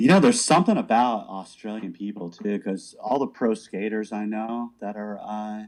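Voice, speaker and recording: Hardly pausing, a man speaks in an unremarkable speaking voice at a fairly low pitch. His loudness swings widely, while his pitch variation is ordinary. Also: moderate pace. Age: 40s. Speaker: podcast host and band musician. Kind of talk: casual chat.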